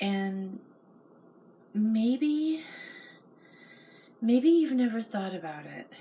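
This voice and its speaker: A soft-spoken woman at a very slow pace, lively intonation, with noticeable background noise. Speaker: mental health vlogger. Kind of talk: personal reflective monologue. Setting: home at night.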